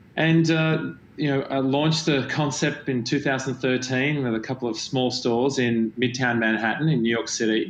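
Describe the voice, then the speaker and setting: With an Australian accent, this man talks at a medium pitch and keeps his intonation fairly even. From Australia, Melbourne. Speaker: company founder and CEO. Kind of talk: panel interview. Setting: virtual event.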